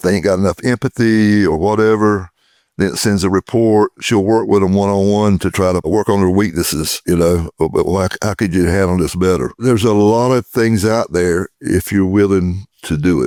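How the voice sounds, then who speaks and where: In a very clean recording with a silent background and a dry, close sound with no echo, a man speaks at a moderate pace with hardly any pauses, a fairly low pitch, ordinary pitch variation and a dark, mellow tone. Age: 60s. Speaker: law firm growth consultant. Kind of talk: casual interview.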